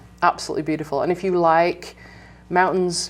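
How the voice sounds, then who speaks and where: A woman's fairly low, monotone voice with flat intonation, music in the background. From England. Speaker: bike education director. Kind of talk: interview.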